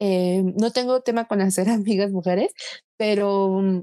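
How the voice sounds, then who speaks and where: The voice has a dark, mellow tone and ordinary pitch variation. The sound is dry and close, with no echo. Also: woman. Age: 20s. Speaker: podcast co-host. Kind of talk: casual chat.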